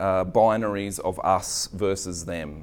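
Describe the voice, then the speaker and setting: In an Australian accent, a man speaks with a fairly low pitch and fairly even intonation. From Australia, Queensland (Redcliffe). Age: 40s. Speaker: pastor. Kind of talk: sermon. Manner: halting.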